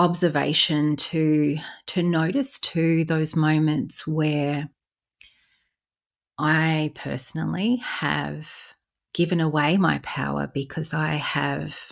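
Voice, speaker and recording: A woman speaking at a very slow pace on a very clean recording with a silent background. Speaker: spiritual podcast host, light language practitioner. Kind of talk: podcast monologue. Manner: pausing, stumbling over words at times.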